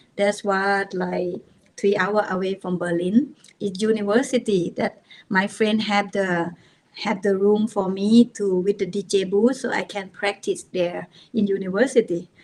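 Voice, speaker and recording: A woman with a Thai accent, at a fairly slow pace. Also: medium pitch for a woman, fairly even intonation. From Thailand, rural village. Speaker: techno DJ and producer. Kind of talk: podcast interview. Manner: halting.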